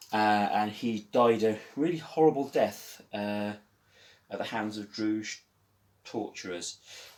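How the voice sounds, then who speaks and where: A man with a fairly low pitch speaks very slowly, with ordinary pitch variation. The recording is very clean, with a silent background. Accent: Birmingham. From West Midlands, England (Walsall, Birmingham). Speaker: live-action roleplayer, video creator. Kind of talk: casual show-and-tell tutorial. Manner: hesitant, many fillers.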